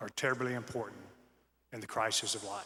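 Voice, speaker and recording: The man's voice has a bright, sharp tone. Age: 60s. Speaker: commencement speaker. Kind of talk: commencement speech.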